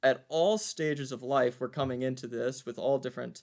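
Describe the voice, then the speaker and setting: A man with an American accent at medium pitch, a normal speaking voice with ordinary pitch variation at a moderate pace. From US South, Virginia (Waynesboro). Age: 20s. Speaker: community service team leader. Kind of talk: interview.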